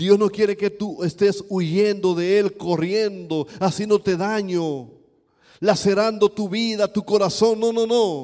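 The voice has a dark, mellow tone and moves at a very slow pace on a very clean recording with a silent background. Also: man, high pitch for a man. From Dominican Republic, east. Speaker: pastor. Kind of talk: sermon. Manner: animated.

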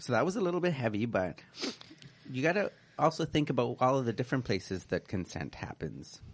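A man's medium-pitched voice with vocal fry, very wide pitch swings and long, frequent pauses. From Canada. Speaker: community radio co-host. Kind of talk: casual chat. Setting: radio studio.

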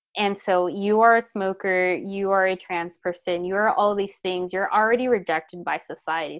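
In a plain, everyday voice, the speaker goes at a moderate pace. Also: woman. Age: 30s. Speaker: public health program manager. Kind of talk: casual chat.

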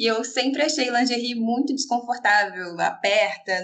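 Delivery comes at a moderate pace with ordinary pitch variation. Its tone is bright and sharp. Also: woman. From Rio de Janeiro, Brazil. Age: 20s. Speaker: pastor's wife. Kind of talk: casual chat. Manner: halting.

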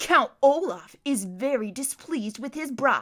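A woman's put-on character voice, growling and high-pitched, with lively intonation and a fairly slow pace. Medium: read story. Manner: sickly sweet, snarling.

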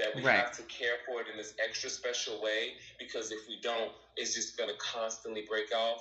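With noticeable background noise behind him, a man with an American accent speaks at a medium pitch and moderate pace. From Chicago. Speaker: hair stylist. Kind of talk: casual chat. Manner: animated.

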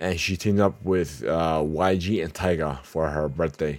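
A man at a very deep, low pitch and a fairly slow pace. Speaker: podcast host and producer. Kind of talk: casual news roundup podcast. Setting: home studio, live-streamed. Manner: hesitant with many fillers.

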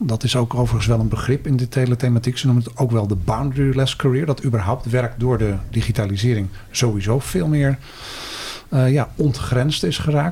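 The man's pitch moves with ordinary variation. Noticeable background noise sits behind him. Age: 50s. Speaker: career counselling lecturer and researcher. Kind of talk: casual interview.

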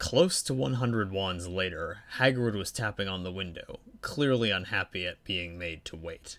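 What we hear is plain reading aloud.

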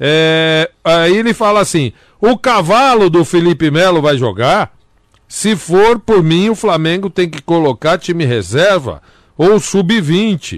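A man speaks very slowly in a high voice with lively intonation, recorded dry and close with no echo against a quiet background. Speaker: radio comedian co-host. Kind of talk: comedic casual chat. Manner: animated.

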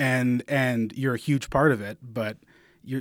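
Moderate pace and fairly even intonation from a man, his pitch medium. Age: 30s. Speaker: parent of two young kids. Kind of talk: casual chat. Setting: studio. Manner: halting, many repeated words.

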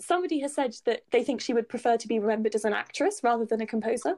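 A woman speaks very fast in a British accent. Her pitch is fairly high. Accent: British, similar to host. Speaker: musicology expert. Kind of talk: informative conversation. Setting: video call.

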